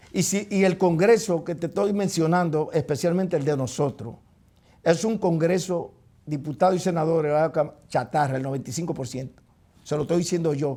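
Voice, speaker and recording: Very cleanly recorded against a silent background, a man with a high pitch and a dark, mellow tone speaks at a moderate pace with ordinary pitch variation. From Dominican Republic, Neiba. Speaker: talk show host. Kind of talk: heated debate. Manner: animated.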